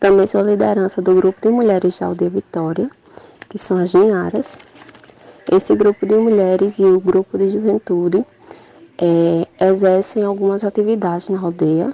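A woman speaks at a moderate pace and a medium pitch. The sound is dry and close with no echo, though there is noticeable background noise. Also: fairly even intonation. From Brazil, Paraíba (João Pessoa). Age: 20s. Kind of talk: recorded testimony.

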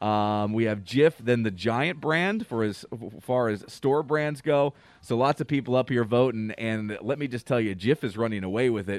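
A man has a plain, everyday voice with a medium pitch and ordinary pitch variation. The sound is dry and close with no echo, against a quiet background. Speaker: radio host. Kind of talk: radio DJ patter, morning show banter. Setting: radio studio. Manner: upbeat, chatty, quick-paced with jokes and laughter.

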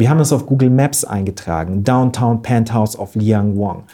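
Lively in intonation and dark, mellow in tone, a man speaks at a moderate pace in a very clean recording with a silent background. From Bavaria, Wörthsee near Munich. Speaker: event organizer and author. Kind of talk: podcast interview storytelling. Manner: animated storytelling.

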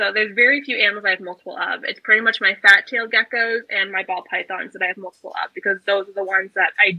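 A woman talks at a very fast pace with an American accent. Her pitch is medium and her intonation fairly even. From US South, South Carolina. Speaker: reptile educator and YouTuber. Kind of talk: casual chat.

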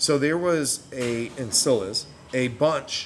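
A man with an American accent, medium pitch and ordinary pitch variation, over noticeable background noise. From New York. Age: 40s. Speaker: brewing instructor and military veteran. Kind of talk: casual interview. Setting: bottle shop.

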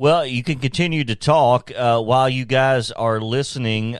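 Fairly slow in pace, an ordinary speaking voice carries ordinary pitch variation. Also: man. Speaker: radio station announcer reading sponsors and scores.

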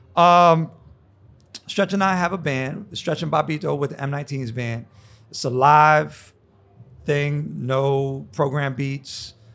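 Very slow and broken by long, frequent pauses, a man's fairly high voice with an American accent shows ordinary pitch variation on a very clean recording with a silent background. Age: 50s. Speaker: DJ and basketball announcer. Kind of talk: casual chat.

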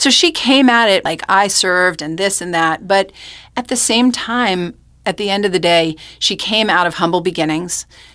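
A woman with an American accent and a bright, sharp tone speaks at a moderate pace with a medium pitch and ordinary pitch variation. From New York, Rockland County. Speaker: oral historian. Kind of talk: interview. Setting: studio.

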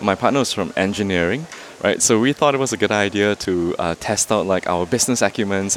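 A man of fairly low pitch at a fairly quick pace, against noticeable background noise. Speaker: cafe owner entrepreneur. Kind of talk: casual interview. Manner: hesitant, fillers.

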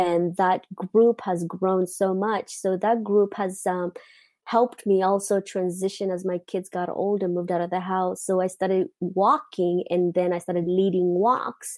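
A woman at a medium pitch with a Mozambican accent, flat and monotone, fairly slow in pace, in a very clean recording with a silent background. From Mozambique. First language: not English. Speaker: lifestyle coach. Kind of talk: interview. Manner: halting.

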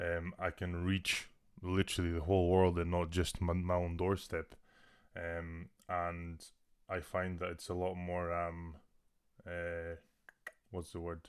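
A man with a Scottish Highland accent speaks in a very deep, low pitch at a fairly slow pace. His intonation is flat and monotone, broken by long, frequent pauses. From Scotland, Inverness. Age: 20s. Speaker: personal trainer and online fitness coach. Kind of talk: casual chat. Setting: video call.

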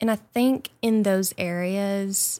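A woman speaks in an Arkansas accent at medium pitch with ordinary pitch variation. The recording is very clean, with a silent background. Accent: US Southern (Arkansas). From rural Arkansas, near Mountain View. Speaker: foundation staff member. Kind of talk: interview. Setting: studio.

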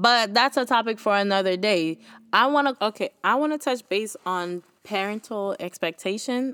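Speaking with a Haitian accent, a woman uses a medium pitch. The recording is very clean, with a silent background and a dry, close sound with no echo. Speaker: podcast host. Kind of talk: casual solo podcast talk. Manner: casual, conversational.

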